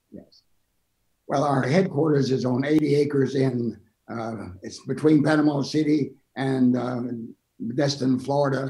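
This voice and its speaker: A man's fairly high, somewhat breathy voice in a dark, mellow tone, with fairly even intonation, big swings in loudness and long, frequent pauses. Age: 80s+. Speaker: bishop and ministry leader. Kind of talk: interview.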